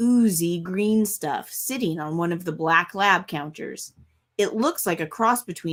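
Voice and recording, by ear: Reading aloud in a natural voice, over a quiet background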